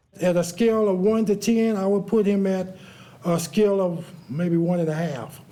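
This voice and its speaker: Audible room echo surrounds a man with a high pitch and an American accent speaking at a moderate pace. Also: ordinary pitch variation. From California. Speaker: trial witness. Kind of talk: courtroom testimony. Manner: halting.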